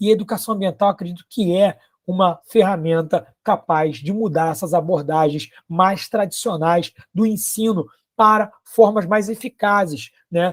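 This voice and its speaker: His voice is high for a man, moving at a fairly slow pace with ordinary pitch variation. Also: dry, close sound with no echo. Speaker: biology teacher and environmental educator. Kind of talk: conference talk.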